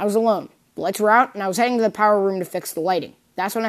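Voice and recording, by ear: The text is read aloud in a natural voice with fairly even intonation.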